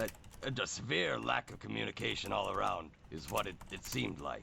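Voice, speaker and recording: A man in a put-on character voice speaks at a moderate pace, very deep and raspy, over clear background noise. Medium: game stream. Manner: blunt, plain-spoken.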